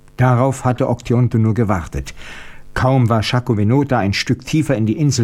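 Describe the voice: The text is given plain reading aloud. Nothing more is added to the delivery.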